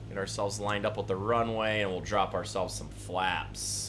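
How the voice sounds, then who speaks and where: An animated tone, with the room's echo clearly audible. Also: man. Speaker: gaming livestreamer. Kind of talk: live gameplay stream chat. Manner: loud.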